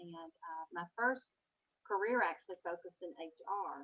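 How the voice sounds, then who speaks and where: A woman speaks in a Southern US accent. Her pitch is medium, with ordinary pitch variation. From Kentucky. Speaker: author. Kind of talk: interview. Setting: video call.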